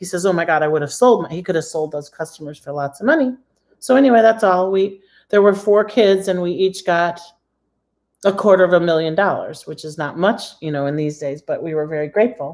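A woman speaks at a fairly quick pace. Her pitch variation is ordinary. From Michigan, US. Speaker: credit repair coach. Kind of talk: live-streamed tutorial. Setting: live video stream. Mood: chatty, excited at times. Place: kitchen. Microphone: phone near.

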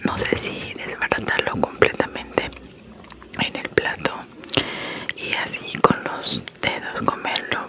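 Very slowly, a woman whispers. Each word comes out hushed and drawn out. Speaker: ASMR creator. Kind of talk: ASMR eating video. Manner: whispered. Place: home room. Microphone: studio mic.

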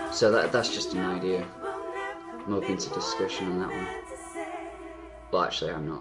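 Over music in the background, the speaker keeps a moderate pace broken by long, frequent pauses. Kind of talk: casual talk to camera. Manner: rambling, hesitant.

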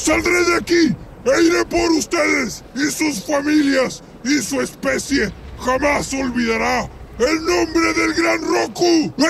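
A man shouting in a put-on character voice at an extremely high pitch, fairly slow pace, over clear background noise. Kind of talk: villain monologue. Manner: contemptuous, furious, shouting threats.

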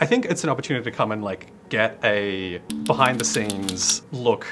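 Loud music fills the background. Over it, a man speaks at a moderate pace. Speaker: cast member speaking about the production. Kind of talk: interview answer. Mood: friendly, enthusiastic. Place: hall.

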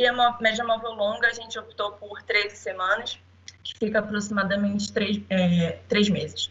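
At a moderate pace and medium pitch, a woman speaks in a monotone, flat way while her loudness swings widely. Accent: Rio de Janeiro. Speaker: statistician, public safety analyst. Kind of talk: conference talk. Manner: halting, many fillers.

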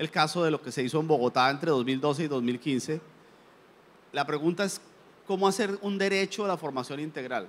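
At a moderate pace, a man speaks in a fairly high pitch with ordinary pitch variation. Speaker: education official on the panel. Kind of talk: panel discussion. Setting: stage with audience, live event. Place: hall. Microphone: handheld.

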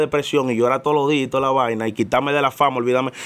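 Fairly even intonation in a man's fairly high-pitched voice. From Dominican Republic, Santo Domingo; Dominican Republic. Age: young. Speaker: musician and comedian; comedian. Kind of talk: casual interview. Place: studio. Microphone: studio mic.

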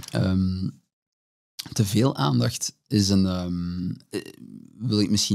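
The voice has a dark, mellow tone and ordinary pitch variation, over a quiet background. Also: man. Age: 30s. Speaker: HR director; guest. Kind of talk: interview. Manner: hesitant, many fillers. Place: studio. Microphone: studio mic.

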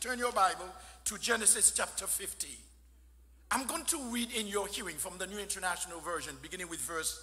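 A man with a high pitch speaks at a moderate pace. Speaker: guest preacher. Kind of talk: sermon. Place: church. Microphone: podium.

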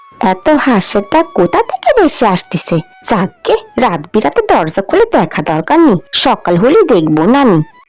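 A woman at a medium pitch puts on a cartoonish character voice, her pitch swinging very widely at a moderate pace with very even loudness while faint music plays in the background. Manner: scolding, complaining.

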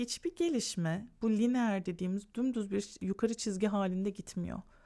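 In a plain, everyday voice, a woman speaks at a moderate pace with lively intonation on a very clean recording with a silent background. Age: 40s. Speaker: lifestyle YouTuber. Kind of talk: podcast monologue.

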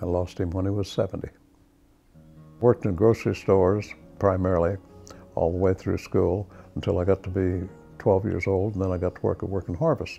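Over faint background music, a man with an American accent speaks at a very deep, low pitch and a fairly quick pace, with long, frequent pauses. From Oklahoma. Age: 80s+. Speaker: war veteran. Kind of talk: testimony. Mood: warm, reflective. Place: home room. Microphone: lapel.

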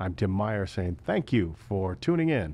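A man speaks with an American accent at a fairly low pitch. His voice swings very widely up and down. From US Midwest. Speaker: local sports podcast host. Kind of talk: interview. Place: studio. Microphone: studio mic.

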